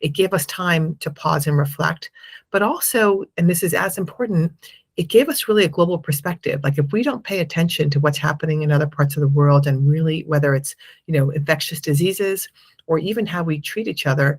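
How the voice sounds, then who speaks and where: A woman with an American accent speaks at a fairly quick pace in a very deep, low voice that is somewhat breathy, her pitch varying in an ordinary way. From United States. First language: Spanish. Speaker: impact investment fund manager. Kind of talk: interview.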